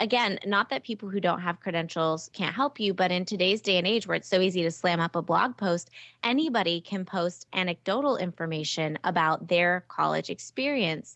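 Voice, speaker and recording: With a plain, everyday voice, a woman talks at a fairly quick pace with hardly any pauses, in a medium pitch with ordinary pitch variation, recorded dry and close with no echo against a quiet background. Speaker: test prep tutor and business founder. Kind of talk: interview.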